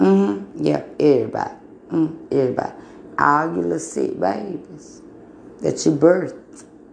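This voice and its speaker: A woman talks at a moderate pace with long, frequent pauses. Audible room echo surrounds her voice. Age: 40s. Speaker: podcaster giving religious talk. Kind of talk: religious monologue. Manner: emphatic.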